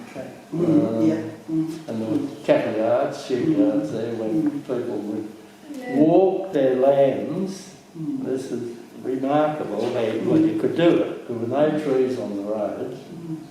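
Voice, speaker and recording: Noticeable background noise sits behind a man with an Australian accent. His fairly high voice has ordinary pitch variation and a fairly slow pace. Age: old. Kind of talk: oral history reminiscence.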